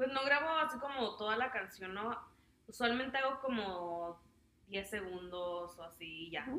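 In a room with audible echo, a woman with a fairly high pitch and lively intonation talks at a fairly slow pace. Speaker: podcast co-host. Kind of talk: casual chat.

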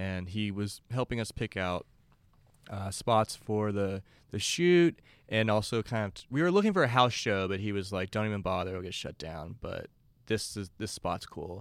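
The recording is very clean, with a silent background. A man talks in an ordinary speaking voice at a fairly low pitch and moderate pace, with ordinary pitch variation. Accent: American. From Texas (Beaumont, near Louisiana border). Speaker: rock guitarist. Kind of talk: casual chat.

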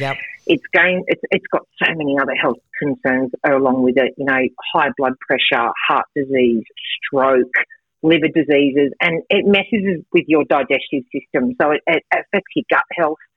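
The speaker has an Australian accent, ordinary pitch variation and a moderate pace. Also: woman, very deep, low pitch for a woman. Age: 40s. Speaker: fitness and nutrition coach. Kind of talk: radio interview.

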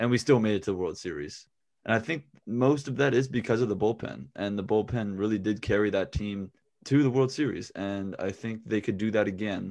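An ordinary speaking voice from a man with an American accent, fairly low in pitch, at a fairly quick pace with ordinary pitch variation, against a quiet background. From US South (Raleigh, North Carolina). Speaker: podcast co-host. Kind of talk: casual chat.

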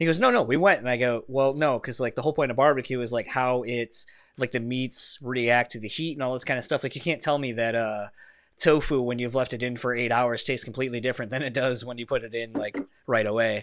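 A very fast delivery in an East Coast American accent, with fairly even intonation over a quiet background. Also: man, medium pitch for a man. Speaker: podcast host. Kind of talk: casual chat.

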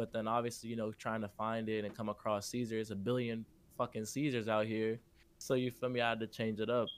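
A man with an American accent talks at a very fast pace and a medium pitch. His intonation is monotone and flat, on a very clean recording with a silent background. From Chicago. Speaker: underground rapper and singer. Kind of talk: casual interview.

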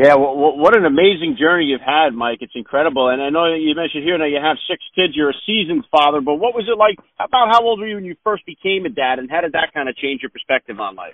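Talking at a very fast pace with hardly any pauses, a man shows lively intonation. His fairly high voice has big swings in loudness. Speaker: podcast host. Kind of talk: casual interview chat.

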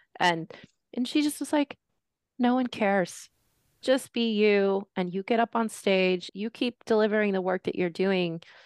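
An American-accented woman speaks with ordinary pitch variation against a quiet background. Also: medium pitch for a woman, dry, close sound with no echo. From San Fernando Valley, California. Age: 40s. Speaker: bookshop director and arts organizer. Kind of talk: casual interview conversation.

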